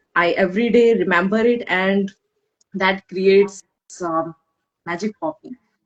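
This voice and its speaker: A woman at medium pitch speaks fairly slowly with fairly even intonation. Her loudness swings widely, and she pauses long and often. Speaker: guest, mother turned coach. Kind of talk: live interview chat. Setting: Instagram live stream. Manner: halting, repetitive starts.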